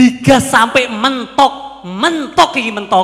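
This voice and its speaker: A man's animated, raised and projected voice, extremely high in pitch, with lively intonation. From Pasuruan, East Java; East Java, Indonesia. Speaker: stand-up comedian (competitor). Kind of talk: stand-up comedy; stand-up comedy routine. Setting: stage with audience. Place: stage. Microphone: handheld.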